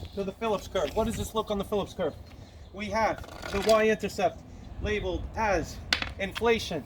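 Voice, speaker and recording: Speaking at a moderate pace, a man with a high-pitched voice is heard over noticeable background noise. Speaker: economics teacher. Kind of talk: lecture.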